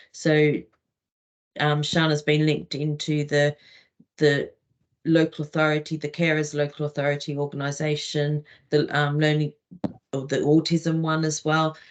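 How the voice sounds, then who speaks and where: Long, frequent pauses break up this woman's speech, delivered in a British accent. Her pitch is very deep and low, with monotone, flat intonation. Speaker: regional lead. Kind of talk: online meeting remarks. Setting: video call. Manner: slow.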